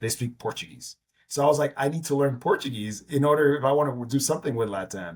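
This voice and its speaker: With an American accent, a man talks at a very fast pace in a fairly high, somewhat breathy voice with ordinary pitch variation. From New York. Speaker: entrepreneur. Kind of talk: interview.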